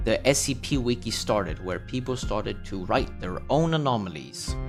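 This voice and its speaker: Over background music, a man at medium pitch speaks with a Danish accent, his pitch swinging very widely. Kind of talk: casual explainer video narration.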